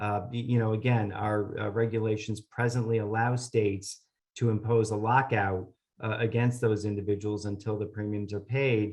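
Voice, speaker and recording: A man talks at a moderate pace in a fairly low pitch, somewhat breathy. His intonation is monotone and flat, and the background is quiet. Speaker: government policy presenter. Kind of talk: webinar presentation. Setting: online webinar. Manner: hesitant, many filler sounds.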